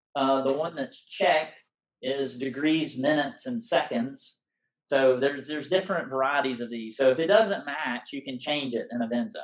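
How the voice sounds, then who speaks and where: A man with an American accent has an ordinary speaking voice, fairly high in pitch. He talks at a moderate pace with ordinary pitch variation. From US South, Alabama. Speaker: off-road navigation instructor. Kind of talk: tutorial class. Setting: live class, in person and over Zoom.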